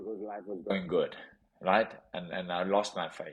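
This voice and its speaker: A man with a South African accent, fairly low-pitched and fairly slow-paced. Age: 30s. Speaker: professional boxer. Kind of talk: interview storytelling. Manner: animated.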